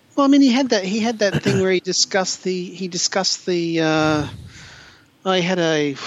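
A man with a high-pitched voice at a moderate pace, over noticeable background noise. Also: ordinary pitch variation. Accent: Australian. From regional Queensland, Australia. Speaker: podcast co-host. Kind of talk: casual panel discussion. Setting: video call.

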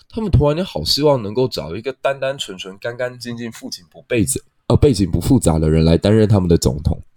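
An unremarkable speaking voice with lively intonation moves at a fairly quick pace in a very clean, dry, close recording with a silent background and no echo. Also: man. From Taiwan. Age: young. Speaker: podcast host. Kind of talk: solo history and politics commentary.

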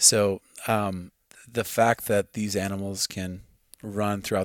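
A man speaks at a fairly low pitch with a Midwestern American accent. The recording is very clean, with a silent background. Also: dry, close sound with no echo. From US Midwest, farm. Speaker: hunter and archer. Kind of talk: casual chat. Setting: at his home.

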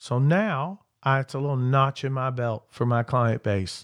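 Against a quiet background, a man with an American accent speaks at a fairly high pitch. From southern Indiana (Clark County). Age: 50s. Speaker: auctioneer and real estate agent. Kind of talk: podcast interview, casual chat. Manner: animated.

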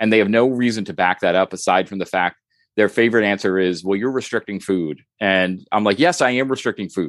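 Fairly quick in pace, a man with a plain, everyday voice and fairly low pitch shows ordinary pitch variation, recorded dry and close with no echo over a quiet background. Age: 40s. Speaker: weight-loss social media creator. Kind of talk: casual interview.

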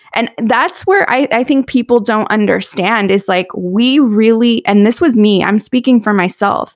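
A woman with an American accent and a fairly high pitch has a plain, everyday voice with ordinary pitch variation. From US West Coast, South Orange County, California. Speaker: money coach and author. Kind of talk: casual interview.

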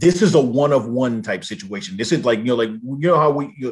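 This man has an American accent and a fairly high pitch, with ordinary pitch variation. He talks at a fairly quick pace against a quiet background. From Southern California. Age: 40s. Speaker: sports podcaster. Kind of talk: casual sports talk chat. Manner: halting, many fillers and repetitions.

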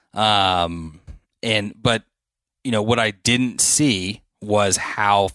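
A man with a fairly low pitch speaks at a very slow pace in a bright, sharp tone with fairly even intonation. The recording is very clean, with a silent background. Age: 30s. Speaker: landscaping business owner. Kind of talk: casual interview. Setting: podcast studio.

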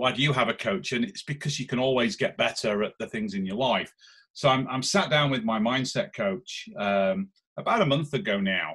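Here a man speaks with a Lancashire accent at a medium pitch. His intonation is lively and his pace moderate. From northern England, Lancashire. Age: 40s. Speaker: business investor. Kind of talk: interview. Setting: outdoors in back garden. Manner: halting, repeats words.

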